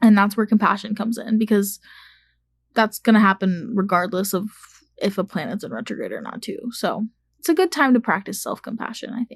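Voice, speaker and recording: The voice is somewhat breathy, with big swings in loudness. It is a very clean recording with a silent background. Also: woman, fairly high pitch for a woman, ordinary pitch variation, dry, close sound with no echo. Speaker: podcast host. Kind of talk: casual solo podcast talk. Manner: animated.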